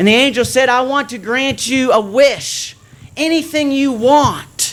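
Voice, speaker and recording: Male speech, fairly slow, against audible room echo. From Nova Scotia, Canada. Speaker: preacher. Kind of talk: sermon.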